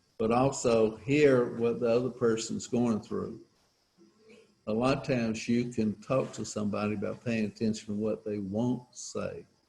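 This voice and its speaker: A man's dark, mellow tone at a medium pitch, with monotone, flat intonation and a moderate pace. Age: 70s. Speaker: recovery speaker. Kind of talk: personal testimony. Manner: casual, halting.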